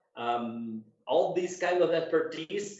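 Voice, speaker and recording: With a non-native accent, a man talks using ordinary pitch variation. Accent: non-native English, self-described weak. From Cuba, moved to Colombia as a teenager. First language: Spanish. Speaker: dog show judge and handler. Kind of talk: interview. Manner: halting, many repetitions.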